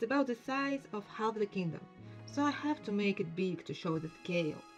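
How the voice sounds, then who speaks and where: Music in the background behind a woman's medium-pitched voice, moderate pace and very wide pitch swings. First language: non-native English speaker. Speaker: indie game developer. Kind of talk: casual talk over screen recording.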